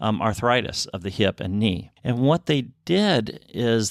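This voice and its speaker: Speaking fairly slowly, a man uses an unremarkable speaking voice. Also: dry, close sound with no echo, very clean recording, silent background. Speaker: podcast co-host. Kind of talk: casual chat.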